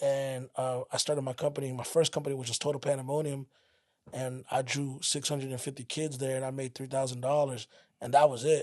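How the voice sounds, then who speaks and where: With an American accent, a man talks fairly quickly in a flat, monotone way. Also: medium pitch for a man. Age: 30s. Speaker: event promoter and former rapper. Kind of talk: casual interview.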